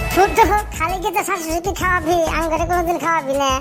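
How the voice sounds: A squeaky, cartoonish character voice talks at a fairly quick pace over loud music in the background.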